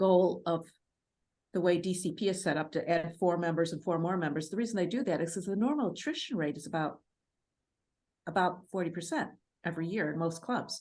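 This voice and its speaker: Fairly low-pitched woman with a northern US accent, moderate pace, ordinary pitch variation and long, frequent pauses. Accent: Yankee (northern US). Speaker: Toastmasters club coach. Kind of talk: seminar panel discussion.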